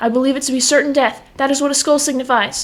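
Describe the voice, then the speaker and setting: In a put-on character voice, a female-sounding speaker goes very fast at a high pitch with monotone, flat intonation. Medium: audio drama. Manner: pompous, grandiose.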